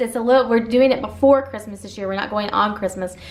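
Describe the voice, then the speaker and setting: A woman's pitch moves up and down in a usual way while clear background noise is present. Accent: American. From US Midwest, southern Illinois. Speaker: mom vlogger. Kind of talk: casual Q&A vlog. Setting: at home.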